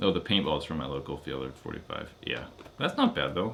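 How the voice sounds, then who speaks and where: The speech moves at a fairly quick pace. Its pitch swings very widely. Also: man. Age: 30s. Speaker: paintball YouTuber. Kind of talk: live stream chat. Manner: casual.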